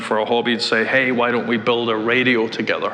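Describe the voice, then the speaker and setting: With a Scottish accent, a man of medium pitch speaks in a monotone, flat intonation amid audible room echo and noticeable background noise. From Scotland, Glasgow. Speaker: tech executive. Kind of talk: interview. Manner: hesitant, many fillers.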